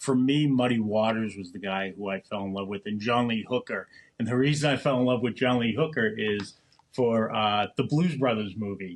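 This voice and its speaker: Here a man speaks with an American accent at a medium pitch. His pace is moderate, with ordinary pitch variation. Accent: Boston accent, comes out occasionally. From Boston, Massachusetts (East Boston, Winthrop). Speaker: podcast co-host, cigar shop worker. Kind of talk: casual chat. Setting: home mini studio.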